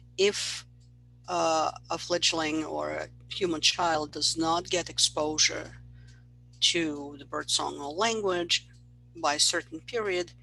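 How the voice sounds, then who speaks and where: Very slow speech in a Russian accent, broken by long, frequent pauses, over a quiet background. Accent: Russian-accented English, noticeable. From Russia, Moscow. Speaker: university professor. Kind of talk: lecture. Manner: conversational, with fillers.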